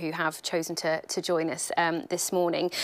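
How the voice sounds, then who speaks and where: A woman with a British accent, fairly low in pitch, at a fairly quick pace. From Britain. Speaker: journalist and event host. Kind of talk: moderated interview. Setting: live-streamed event at company headquarters.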